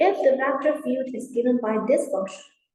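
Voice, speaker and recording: A woman talks at a moderate pace, and audible room echo can be heard. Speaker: university lecturer. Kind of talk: lecture.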